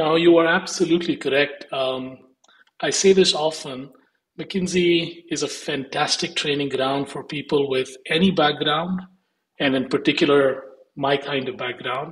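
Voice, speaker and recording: A man with an Indian accent speaks fairly slowly at a fairly high pitch, somewhat breathy, with fairly even intonation. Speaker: investment firm executive. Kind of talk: interview.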